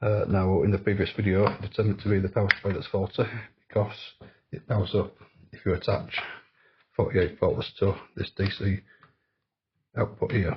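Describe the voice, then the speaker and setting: A man speaks at a fairly quick pace in a fairly low, somewhat breathy voice with monotone, flat intonation. Long, frequent pauses break up his speech. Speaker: electronics repair youtuber. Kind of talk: tutorial.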